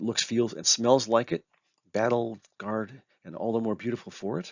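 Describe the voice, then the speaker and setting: Using an ordinary speaking voice with an American accent, a man speaks at a moderate pace and medium pitch, his intonation fairly even but his loudness swinging widely. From US Southwest, rural Arizona near Mexican border. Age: 60s. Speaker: speaker, writer and guitarist. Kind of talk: presentation talk. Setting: conference talk.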